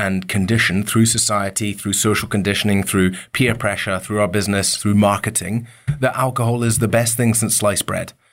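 A man speaks with a Scottish accent at a fairly low pitch, his intonation fairly even. The recording is very clean, with a silent background. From Scotland, Isle of Mull. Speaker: entrepreneur, company co-founder. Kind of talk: interview.

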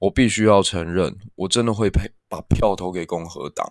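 At a fairly slow pace, a man talks with a very deep, low pitch and ordinary pitch variation. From Taiwan. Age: young. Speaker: podcast host. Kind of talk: solo history and politics commentary.

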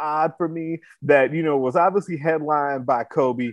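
In an ordinary speaking voice, a man with an American accent talks at a moderate pace in a fairly high pitch. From Chicago. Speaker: sports podcast host. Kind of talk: casual sports talk chat.

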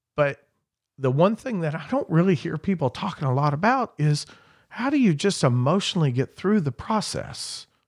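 A man's high voice in an American accent, with very wide pitch swings at a moderate pace, dry and close with no echo, on a very clean recording with a silent background. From southern Indiana (Clark County). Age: 50s. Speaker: auctioneer and real estate agent. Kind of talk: podcast interview, casual chat. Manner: animated.

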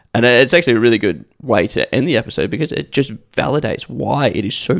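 Talking at a fairly quick pace with an Australian accent, a man uses lively intonation at a medium pitch, with vocal fry. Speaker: podcast host, business owner. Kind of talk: casual chat.

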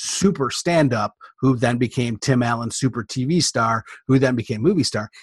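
A man's somewhat breathy, medium-pitched voice, ordinary pitch variation, dry close sound with no echo, quiet background. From Michigan, Detroit area. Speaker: Disney fan guest. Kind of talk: casual chat.

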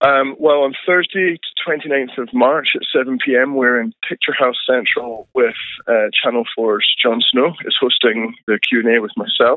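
Speaking at a fairly slow pace, a man uses an unremarkable speaking voice with medium pitch and ordinary pitch variation. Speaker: film director. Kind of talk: interview.

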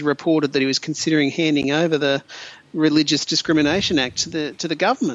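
Over noticeable background noise, a man speaks at a fairly high pitch with an Australian accent. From regional Queensland, Australia. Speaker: podcast co-host. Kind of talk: casual panel discussion. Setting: video call.

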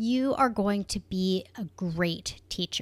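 A woman at medium pitch has an ordinary speaking voice with lively intonation, recorded very cleanly against a silent background. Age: 40s. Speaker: podcast host and online business coach. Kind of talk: solo podcast monologue.

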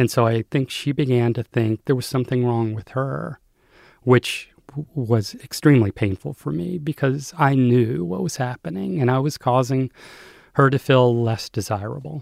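A man with a plain, everyday voice and an American accent speaks at medium pitch and a moderate pace with lively intonation. The recording is very clean, dry and close, with a silent background and no echo. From US South, North Carolina. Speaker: memoir author. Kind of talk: interview.

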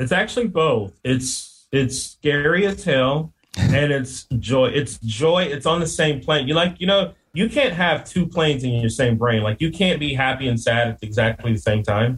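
A man with an unremarkable speaking voice, fairly high pitched, talks at a moderate pace with lively intonation and hardly any pauses. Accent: American. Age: 40s. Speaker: landscape business owner and podcaster. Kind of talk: casual interview chat.

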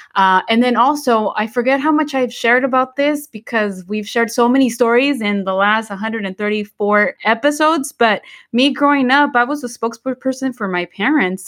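A high-pitched woman talks with a Spanish accent at a moderate pace, with ordinary pitch variation and hardly any pauses, in a very clean, dry, close recording with no echo and a silent background. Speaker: podcast co-host. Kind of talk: casual bilingual chat. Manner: halting, many fillers.

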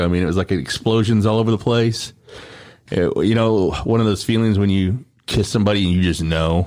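An unremarkable speaking voice moves at a fairly quick pace with fairly even intonation. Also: man. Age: 40s. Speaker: former radio host, media business owner. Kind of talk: casual chat.

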